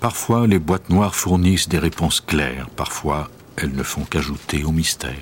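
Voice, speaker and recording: A man's very deep, low voice with vocal fry, a dramatic tone, ordinary pitch variation and a moderate pace. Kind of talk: true-crime documentary narration. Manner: measured, even, grave storyteller's delivery; formal, steady pace, dramatic and detached.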